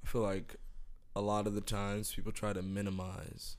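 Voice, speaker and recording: A man's fairly low, monotone voice with flat intonation, moderate pace and audible room echo. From Miami, Florida. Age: 20s. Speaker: podcast host. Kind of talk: casual chat.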